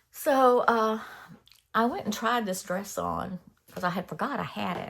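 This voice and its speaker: At a fairly slow pace, a woman speaks with very wide pitch swings on a very clean recording with a silent background. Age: 60s. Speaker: crafting YouTuber. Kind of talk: casual chat. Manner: halting.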